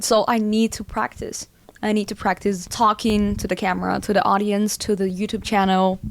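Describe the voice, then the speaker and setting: A woman speaks fairly quickly with a non-native accent at medium pitch. Her intonation is flat and monotone, on a very clean recording with a silent background. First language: not English. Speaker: music producer and vlogger. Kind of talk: vlog talking to camera. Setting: filming alone to camera. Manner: halting, with false starts.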